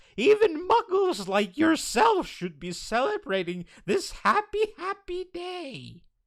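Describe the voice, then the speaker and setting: This put-on character voice is squeaky and high-pitched, delivered at a fairly slow pace. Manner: joyful, effusive.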